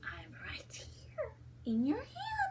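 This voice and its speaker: Someone uses a put-on character voice over light background noise. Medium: read story. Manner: sly, playful.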